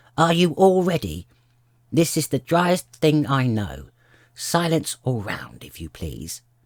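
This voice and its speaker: Putting on a character voice, a man speaks at a fairly slow pace with a fairly high pitch. The recording is very clean, with a silent background. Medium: read story. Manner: pompous, touchy.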